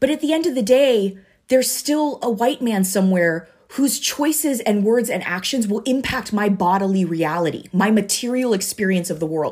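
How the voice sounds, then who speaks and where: Recorded very cleanly against a silent background, a woman with a fairly high pitch talks at a moderate pace with lively intonation. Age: 30s. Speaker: pastor. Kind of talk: sermon. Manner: halting.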